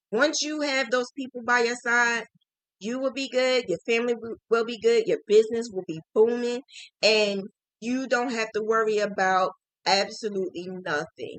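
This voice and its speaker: With a New Jersey accent, a woman speaks at a moderate pace in a fairly high pitch with ordinary pitch variation. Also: dry, close sound with no echo. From New Jersey, Jersey City. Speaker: crochet teacher. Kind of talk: live stream chat.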